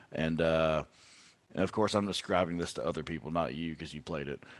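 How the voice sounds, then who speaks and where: Quiet background behind a man talking at a moderate pace. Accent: Texan. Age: 30s. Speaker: country musician. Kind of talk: casual chat.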